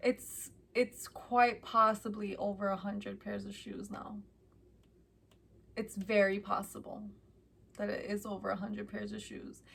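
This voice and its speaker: A woman with an American accent at a fairly slow pace, with long, frequent pauses and big swings in loudness. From Chicago, US Midwest. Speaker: vlogger. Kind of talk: casual chat.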